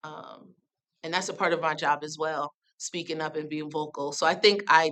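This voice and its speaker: Loud and fairly quick, a woman with an American accent speaks in a very deep, low voice with a bright, sharp tone. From US Northeast, New Haven, Connecticut. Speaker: nonprofit arts program director. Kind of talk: panel talk. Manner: animated.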